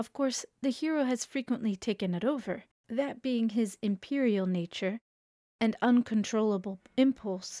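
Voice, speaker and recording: The voice has a dark, mellow tone and ordinary pitch variation. It is captured in a very clean recording with a silent background. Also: woman. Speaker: narrator reading an essay aloud. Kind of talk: audiobook-style reading aloud of a literary essay. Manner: measured, deliberate, expressive literary narration.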